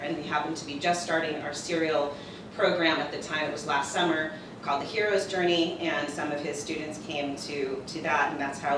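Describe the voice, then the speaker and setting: A woman's very deep, low voice at a very fast pace with fairly even intonation, amid noticeable background noise and audible room echo. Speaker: conference presenter. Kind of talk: presentation talk. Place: classroom. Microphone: camera far.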